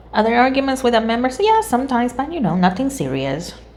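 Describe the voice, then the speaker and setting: A woman with a non-native accent speaks at a moderate pace. Her pitch sits in the medium range. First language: not English. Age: 30s. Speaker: tarot reader. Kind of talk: tarot reading monologue. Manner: casual, conversational.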